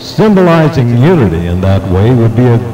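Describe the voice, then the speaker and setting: With music in the background, a man speaks in very wide pitch swings. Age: 70s. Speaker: gubernatorial candidate. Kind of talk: campaign speech. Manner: formal.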